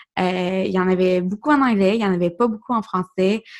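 A woman's medium-pitched voice in a Quebec accent, ordinary pitch variation, very clean recording with a silent background. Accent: Québécois French. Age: 20s. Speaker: podcast host. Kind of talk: solo podcast monologue. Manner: hesitant, many fillers.

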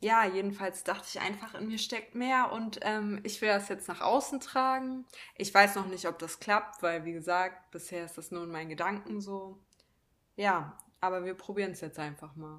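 A woman with an unremarkable speaking voice, medium in pitch with ordinary pitch variation, at a moderate pace with big swings in loudness. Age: 20s. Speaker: podcast co-host. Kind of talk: casual chat.

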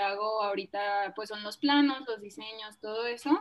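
A woman with a plain, everyday voice and a fairly high pitch speaks at a fairly slow pace. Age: 20s. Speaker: architect and small business founder. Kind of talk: casual interview chat.

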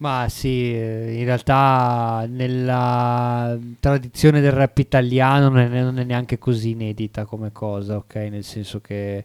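Over a silent background in a very clean recording, a man speaks very slowly at a medium pitch, his intonation monotone and flat while his loudness swings widely. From Savona, Liguria, Italy. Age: 30s. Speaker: rapper. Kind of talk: radio interview. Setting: radio studio. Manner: talkative, reflective.

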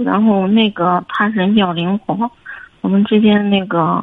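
This woman's medium-pitched voice keeps fairly even intonation as she moves at a fairly slow pace. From Henan, China. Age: 20s. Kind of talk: phone call-in. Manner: hesitant. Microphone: echo on the line.

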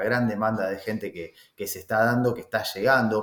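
At a moderate pace, a man talks with an Argentine accent. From Argentina. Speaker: real estate agent. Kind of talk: interview. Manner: hesitant, with many fillers.

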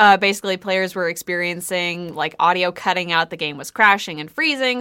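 In a normal speaking voice with ordinary pitch variation, the speaker moves at a fairly quick pace with hardly any pauses and big swings in loudness. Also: woman. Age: 20s. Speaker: podcast co-host. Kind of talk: casual chat. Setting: studio.

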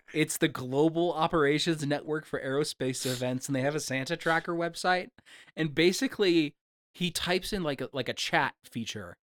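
On a very clean recording with a silent background, a man with a plain, everyday voice talks at a moderate pace and fairly high pitch, with ordinary pitch variation and a dry, close sound with no echo. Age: 30s. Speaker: movie podcast host. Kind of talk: casual chat.

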